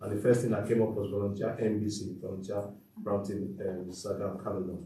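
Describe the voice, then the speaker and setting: This man speaks at a fairly quick pace. His intonation stays fairly even, and the room echo is audible. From Nigeria. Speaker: lawyer, panelist. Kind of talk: panel talk.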